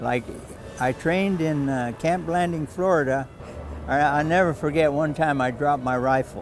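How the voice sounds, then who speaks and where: Over noticeable background noise, a man with an American accent talks at a moderate pace in a fairly high voice with fairly even intonation. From Pasadena, California, US. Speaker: war veteran. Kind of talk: oral history interview. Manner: halting.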